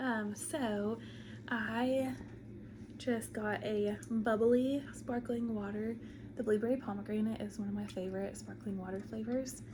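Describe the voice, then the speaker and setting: Woman's voice, fairly high in pitch, fairly slow and fairly even in intonation, with audible room echo and noticeable background noise. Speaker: crochet vlogger. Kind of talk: casual vlog chat. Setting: at home. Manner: casual, filler-heavy.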